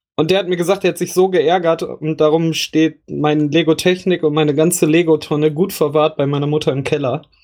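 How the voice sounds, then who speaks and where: Monotone, flat intonation from a man with fairly high pitch at a moderate pace. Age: 30s. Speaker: gaming podcast host. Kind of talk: casual chat.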